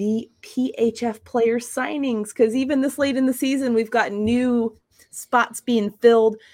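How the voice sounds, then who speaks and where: On a very clean recording with a silent background, a woman talks in an animated tone. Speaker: podcast host. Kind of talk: casual chat.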